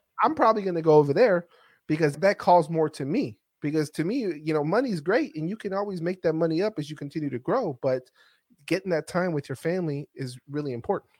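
A man talks very fast with lively intonation and a high pitch. The sound is dry and close with no echo, against a quiet background. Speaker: podcast host. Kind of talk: casual chat. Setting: video call.

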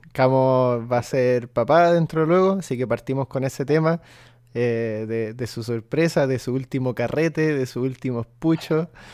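Speaking at a fairly slow pace, a man talks with a Chilean accent. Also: medium pitch for a man, ordinary pitch variation, quiet background. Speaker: podcast host. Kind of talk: casual chat.

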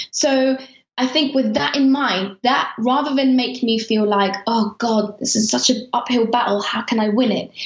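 A high-pitched woman with a British accent speaks at a moderate pace with fairly even intonation and very even loudness over noticeable background noise. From Afghanistan. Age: 30s. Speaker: journalist. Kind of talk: interview. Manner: halting.

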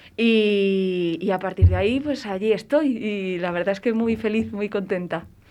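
With a plain, everyday voice, a woman speaks at medium pitch and a fairly slow pace, using ordinary pitch variation and hardly any pauses. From Valladolid, Spain. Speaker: stage actress. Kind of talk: radio interview.

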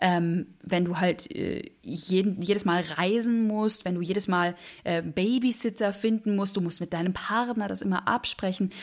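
This woman has an unremarkable speaking voice, medium in pitch with ordinary pitch variation, and she speaks at a fairly slow pace. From Berlin, Germany. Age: 20s. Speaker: musical theatre performer. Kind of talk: interview.

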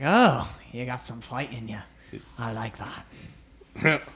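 Doing a put-on character voice, a man speaks at a fairly slow pace with a raspy, medium-pitched sound.

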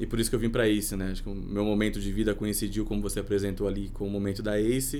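In a room with audible echo, a man speaks at a very fast pace with hardly any pauses, his fairly low voice dark and mellow and his intonation flat and monotone. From Brazil, Sorocaba (São Paulo state). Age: 30s. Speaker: entrepreneur. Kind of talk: casual interview.

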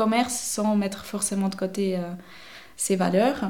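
A woman of medium pitch speaks at a very slow pace, with audible room echo. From French-speaking Switzerland, near Vevey. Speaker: paint shop owner, self-employed entrepreneur. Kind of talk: interview. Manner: hesitant, many fillers.

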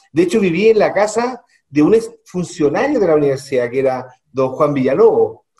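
The voice moves at a moderate pace, dark and mellow in tone, with very wide pitch swings. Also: man, high pitch for a man. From Chile, Santiago. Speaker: mining executive. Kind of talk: radio interview.

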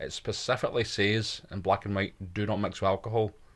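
Talking very fast, a man keeps a fairly low pitch. The recording is very clean, with a silent background. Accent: Scottish. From Scotland. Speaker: comedy podcast co-host. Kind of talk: casual chat.

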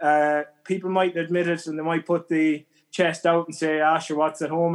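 Here is a man with a west of Ireland accent. His fairly high voice keeps a monotone, flat intonation. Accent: west of Ireland Irish. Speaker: emigrant. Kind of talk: casual interview.

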